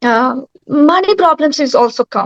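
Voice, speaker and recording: With a Bengali accent, a woman talks at a fairly slow pace with lively intonation, in a dry, close sound with no echo. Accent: Bengali Indian English. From West Bengal, India. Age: young. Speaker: yoga instructor and actor. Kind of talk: panel talk. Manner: halting. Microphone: network problem.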